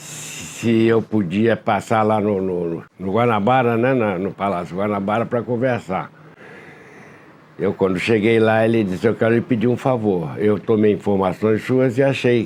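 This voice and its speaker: A man's fairly low voice, with ordinary pitch variation, comes through noticeable background noise. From Rio de Janeiro, Brazil. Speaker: bus company founder. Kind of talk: oral history interview answer.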